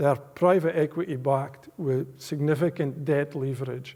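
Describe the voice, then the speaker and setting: A man speaks in a strong Aberdeenshire accent at a fairly high pitch. His tone is dark and mellow, with fairly even intonation. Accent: strong rural Aberdeenshire Scots. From Scotland, rural Aberdeenshire. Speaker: business executive giving a guest lecture. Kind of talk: public lecture.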